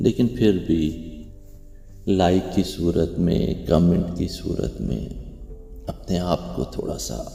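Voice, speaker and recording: The voice moves through very wide pitch swings while music plays in the background. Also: man, very deep, low pitch for a man. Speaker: poetry narrator. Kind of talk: poetry reading with commentary.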